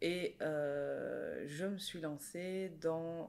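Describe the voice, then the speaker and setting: A woman is speaking here. Her pitch is very deep and low for a woman, and her intonation stays fairly even. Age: 40s. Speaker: life coach and former nurse. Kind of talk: interview conversation.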